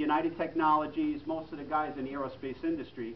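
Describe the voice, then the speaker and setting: Noticeable background noise sits under the recording. A man speaks at a fairly quick pace. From New York City (Queens). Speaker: political candidate. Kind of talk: campaign speech. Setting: restaurant meeting room with audience.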